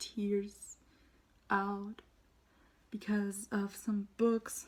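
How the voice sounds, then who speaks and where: This woman's voice sits at a medium pitch and sounds somewhat breathy. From Germany. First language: German. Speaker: booktuber. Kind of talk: casual vlog review. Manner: halting.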